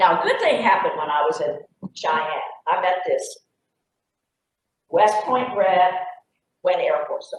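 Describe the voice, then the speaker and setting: With a Texan accent, a woman speaks at a fairly slow pace, leaving long, frequent pauses. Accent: Texan Southern American. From Texas. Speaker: retired Air Force colonel. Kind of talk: club presentation talk.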